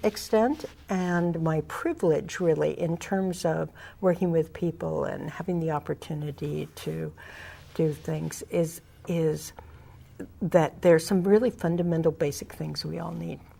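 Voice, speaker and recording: A woman talks in a Californian accent. Her pace is fairly slow. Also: big swings in loudness. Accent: Californian American. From California Central Valley, Tulare County. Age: 60s. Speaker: community organizer. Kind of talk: interview. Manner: halting.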